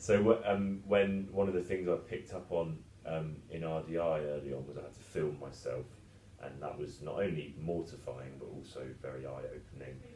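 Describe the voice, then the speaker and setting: A man speaks with a very deep, low pitch and big swings in loudness. Audible room echo fills the recording. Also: ordinary pitch variation. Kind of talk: casual podcast discussion. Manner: fast; talkative.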